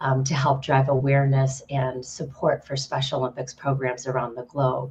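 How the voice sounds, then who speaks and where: A woman speaks in a very deep, low voice that is somewhat breathy. Her intonation stays flat and monotone. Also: moderate pace. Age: 40s. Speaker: nonprofit partnerships director. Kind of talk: panel introduction.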